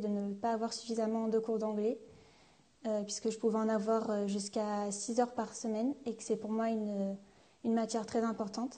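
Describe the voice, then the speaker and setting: A woman with a fairly high pitch and a dark, mellow tone talks at a moderate pace in a flat, monotone intonation. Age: young. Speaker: fashion student. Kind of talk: testimony.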